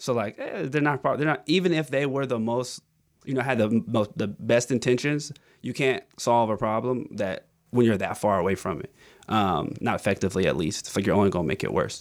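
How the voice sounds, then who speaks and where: On a very clean recording with a silent background, a man with an ordinary speaking voice speaks at medium pitch with lively intonation and a fairly quick pace. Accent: American. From US South, Augusta, Georgia. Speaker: nonprofit founder and former teacher. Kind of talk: casual interview. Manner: casual, filler-heavy.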